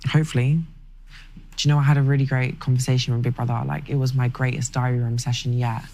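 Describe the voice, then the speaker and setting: Someone talks at a very fast pace with a strong South London accent. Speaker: reality TV contestant. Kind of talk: casual chat.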